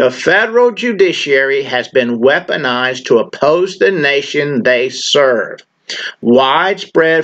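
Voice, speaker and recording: A man talks at a fairly slow pace, with a quiet background behind him. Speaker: channel host. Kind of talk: political appeal monologue. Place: home room. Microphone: webcam.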